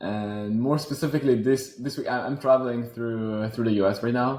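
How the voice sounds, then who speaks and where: A man with a French accent talks at a fairly quick pace in a medium pitch. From Switzerland, Geneva. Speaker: robotics startup founder. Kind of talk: interview.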